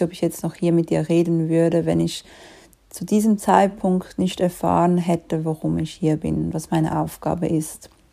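With a Swiss accent, a woman talks at a fairly slow pace in a dark, mellow tone, her fairly low pitch held in monotone, flat intonation, on a very clean recording with a silent background. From Switzerland. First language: Swiss German (speaking German). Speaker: life coach. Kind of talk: solo podcast monologue.

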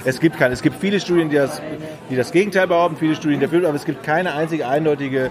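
A man with a fairly high voice speaks at a very fast pace and with ordinary pitch variation while crowd noise fills the background. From Ratingen near Düsseldorf, Germany. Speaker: podcast host. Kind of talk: casual chat. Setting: recorded at a press event.

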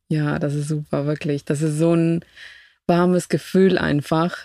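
A woman with a Spanish accent, her pitch very deep and low, her intonation monotone and flat. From Ecuador (Quito). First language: Spanish (speaking German). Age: 30s. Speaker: immigrant guest. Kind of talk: casual interview. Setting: camper van.

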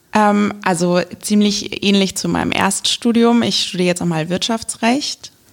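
In an unremarkable speaking voice, a woman talks fairly slowly at a medium pitch with ordinary pitch variation and hardly any pauses. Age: young. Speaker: local election candidate. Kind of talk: casual interview.

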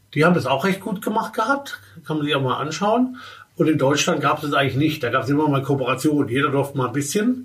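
A man with a fairly high pitch talks at a very fast pace over noticeable background noise. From Baden, southwestern Germany. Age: 50s. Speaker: fashion industry executive and consultant. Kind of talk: interview. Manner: halting, with many fillers.

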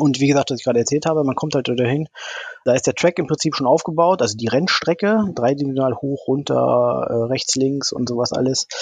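Ordinary pitch variation marks this fairly quick delivery. Noticeable background noise is present throughout. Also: man, fairly high pitch for a man. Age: 40s. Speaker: amateur racing drone pilot. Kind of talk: interview.

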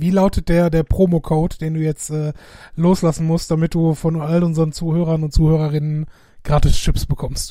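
With a dark, mellow tone, a man speaks at a fairly high pitch and moderate pace in a monotone, flat intonation. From Essen, Ruhr area, Germany. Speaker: podcast co-host. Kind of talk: casual chat.

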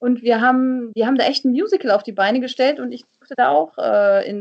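A woman speaks in a normal speaking voice. Her pitch sits fairly high, and her pace is moderate. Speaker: TV and radio presenter, voice-over speaker. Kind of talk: casual chat.

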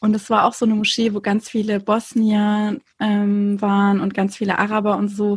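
At a moderate pace with hardly any pauses, a woman speaks in a somewhat breathy, medium-pitched voice with monotone, flat intonation. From Konstanz, southern Germany (Turkish family). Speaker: podcaster. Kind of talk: casual chat.

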